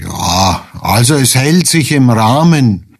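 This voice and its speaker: Amid noticeable background noise, a man at a medium pitch speaks at a very slow pace. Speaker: retired hospital administrator. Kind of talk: radio interview.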